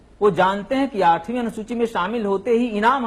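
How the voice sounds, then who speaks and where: The speaker has a Bihari accent. The pace is moderate. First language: Bhojpuri (speaking Hindi). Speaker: Hindi language advocate, panel guest. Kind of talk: TV panel debate. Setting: TV discussion programme. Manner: argumentative, emphatic.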